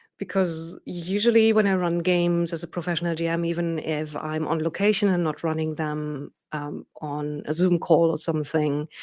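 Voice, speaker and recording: A woman with a German accent speaks at a fairly low pitch and with fairly even intonation. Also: moderate pace, very clean recording, silent background. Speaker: professional dungeon master. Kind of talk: video interview.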